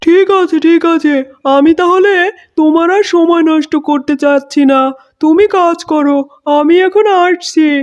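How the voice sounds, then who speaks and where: A cartoonish character voice, extremely high-pitched, at a fairly slow pace. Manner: genial.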